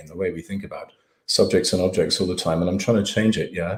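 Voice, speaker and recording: Here a man speaks with an English accent and ordinary pitch variation. The recording is very clean, with a silent background. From England. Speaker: professor and writer. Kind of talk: lecture Q&A. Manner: animated, casual.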